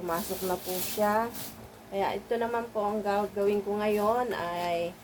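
Her pitch medium and her intonation fairly even, a woman speaks at a very slow pace. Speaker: vlogger and small shop owner. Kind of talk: casual vlog narration. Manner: halting; polite.

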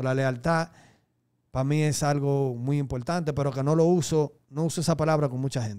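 A man with a Dominican accent talks at a moderate pace, his tone dark and mellow. His intonation stays fairly even against a quiet background. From Dominican Republic, raised in Santo Domingo. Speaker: reggaeton artist; interview guest. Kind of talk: casual interview. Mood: calm, reflective. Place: studio. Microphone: studio mic.

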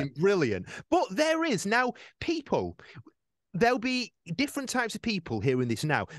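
Recorded dry with no echo, a man speaks at a moderate pace, his high pitch rising and falling in very wide swings. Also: quiet background. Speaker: radio presenter. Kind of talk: radio show talk. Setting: studio. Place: studio. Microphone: studio mic.

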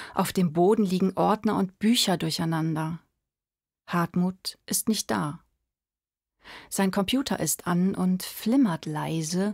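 A soft-spoken woman at a medium pitch, somewhat breathy, with ordinary pitch variation, a fairly slow pace and a quiet background. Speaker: emerging voice actor / audiobook reader. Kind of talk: audiobook reading of a prose story. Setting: home studio. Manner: quiet, intimate, soft-spoken. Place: studio.

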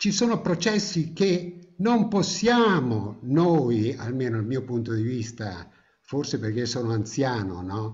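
A man speaks at a very slow pace in a somewhat breathy voice, his pitch swinging very widely. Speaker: course participant; guest. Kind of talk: audience question. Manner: read from notes. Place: home room. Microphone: webcam.

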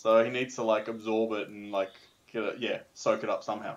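A man speaks at a fairly quick pace with fairly even intonation and a fairly low pitch, with audible room echo.

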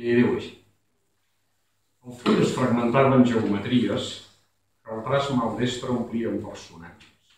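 A man at a very slow pace, with fairly even intonation, long, frequent pauses and big swings in loudness, plus audible room echo and light background noise. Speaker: poet. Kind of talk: poetry reading. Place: stage. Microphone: camera far.

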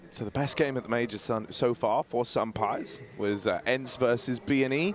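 Over noticeable background noise, a man speaks in an animated, excited tone at a moderate pace. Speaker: esports caster. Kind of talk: live esports commentary. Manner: animated, excited play-by-play; conversational analysis between rounds.

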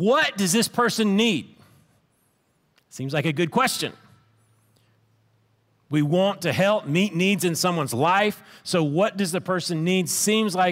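Against a quiet background, a man with a high pitch talks at a fairly slow pace, leaving long, frequent pauses. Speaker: pastor. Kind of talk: sermon. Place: stage. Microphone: headset.

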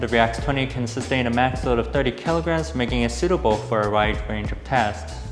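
A man talks at a fairly quick pace, and clear music can be heard behind him. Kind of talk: product presentation. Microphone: lapel.

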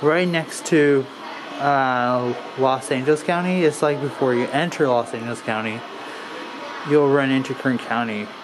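With an American accent, a man speaks at a moderate pace and medium pitch, leaving long, frequent pauses. Background noise is noticeable. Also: ordinary pitch variation. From Bakersfield, California; California. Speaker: travel vlogger. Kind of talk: casual walkthrough vlog narration. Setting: indoor museum. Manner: casual, halting with fillers. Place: hall. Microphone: phone near.

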